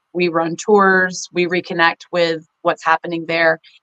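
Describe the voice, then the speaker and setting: A woman speaks with a fairly low pitch in a Texan accent, in a dry, close sound with no echo. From Texas. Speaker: rug shop co-owner. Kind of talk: interview answer.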